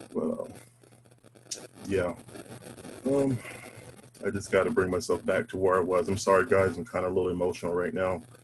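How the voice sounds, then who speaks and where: Against noticeable background noise, the speaker moves at a fairly quick pace with long, frequent pauses and ordinary pitch variation. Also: man, very deep, low pitch for a man. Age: 50s. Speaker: panel speaker on race. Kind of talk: personal testimony. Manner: halting, many fillers.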